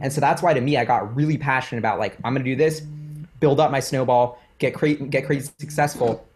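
Somewhat breathy, the speech rushes along at a very fast pace. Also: man, fairly high pitch for a man. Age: 20s. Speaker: finance YouTuber and investor. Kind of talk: casual interview chat. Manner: animated.

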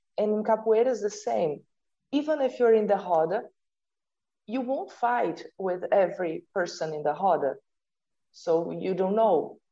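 A woman with a Portuguese accent, medium in pitch and dark and mellow in tone, at a moderate pace with lively intonation and long, frequent pauses. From Brazil. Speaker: sport psychology researcher. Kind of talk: interview. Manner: halting.

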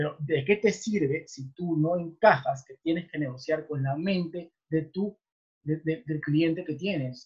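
A man talks at a fairly slow pace with a fairly high pitch and a normal speaking voice. His pitch varies in an ordinary way, while his loudness swings widely. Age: 30s. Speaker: webinar presenter, debt collection trainer. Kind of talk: online lecture. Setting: online webinar.

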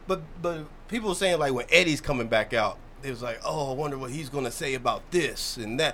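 Over music in the background, a man speaks at a fairly quick pace. His voice is fairly high in pitch, with lively intonation. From Kentucky, Louisville. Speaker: stand-up comedian. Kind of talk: casual chat.

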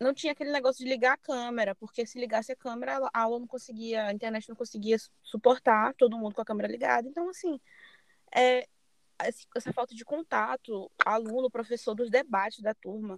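A high-pitched woman at a fairly quick pace, with fairly even intonation and big swings in loudness, in a dry, close sound with no echo. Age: 20s. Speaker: journalism student podcast host. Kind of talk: casual chat.

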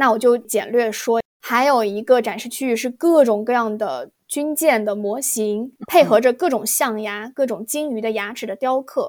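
A woman with an unremarkable speaking voice talks at a moderate pace, her fairly high pitch rising and falling by an ordinary amount. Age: young. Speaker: podcast host. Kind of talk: casual chat.

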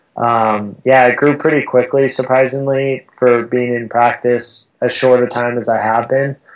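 A man speaks in an American accent at a fairly slow pace. His intonation is monotone and flat. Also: medium pitch for a man, hardly any pauses. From Southern California. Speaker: chiropractor and running coach. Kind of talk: interview.

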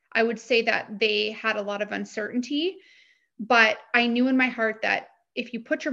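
In a quiet background, a woman with a Canadian accent talks at a moderate pace, her fairly high pitch carrying a bright, sharp tone. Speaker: realtor and real estate team leader. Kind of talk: interview.

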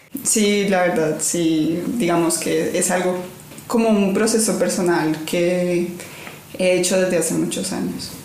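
Amid noticeable background noise and audible room echo, a woman speaks at a fairly slow pace in a fairly low pitch, with very even loudness and fairly even intonation. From Colombia, Cali. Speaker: designer and consultant. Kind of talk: casual interview.

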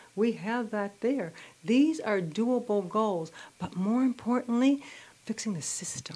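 Over noticeable background noise, the speaker talks at a fairly slow pace with lively intonation. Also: woman, fairly high pitch for a woman. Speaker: political candidate. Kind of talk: radio interview. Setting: studio. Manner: soft-spoken.

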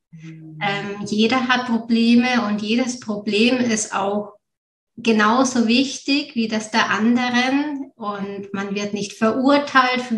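There is audible room echo as a woman speaks at a very slow pace. Her pitch is fairly high and her intonation fairly even. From Bavaria, Germany. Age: 30s. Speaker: mother, former mentoring participant. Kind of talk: interview.

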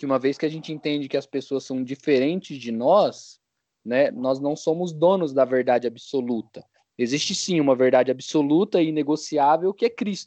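Against a quiet background, a man with fairly high pitch and a dark, mellow tone talks at a moderate pace with ordinary pitch variation. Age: 20s. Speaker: church worship team member and youth leader. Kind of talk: casual chat about faith.

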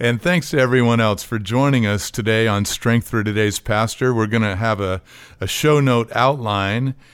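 A normal speaking voice from a man with a fairly low pitch and ordinary pitch variation. He keeps a moderate pace on a very clean recording with a silent background. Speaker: podcast host. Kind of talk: interview. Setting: in person.

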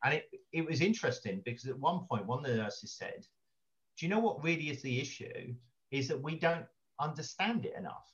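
A man with a southern English accent talks fairly quickly at a fairly high pitch, with lively intonation and vocal fry. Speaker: financial advisor with type 2 diabetes. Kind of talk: interview. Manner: halting.

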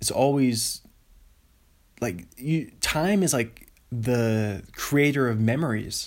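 Recorded very cleanly against a silent background, a man with an American accent talks in an animated tone with lively intonation. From US Pacific Northwest, Seattle. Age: 20s. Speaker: solo podcaster, comedian. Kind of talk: casual solo monologue. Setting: home during quarantine. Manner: rambling, halting with many fillers; animated, frequent laughter.

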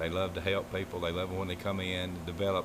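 Speaking with an Alabama accent, a man keeps a moderate pace. His pitch is very deep and low. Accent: Southern US (Alabama). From US South, Alabama. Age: 60s. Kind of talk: interview. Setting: on location in warehouse.

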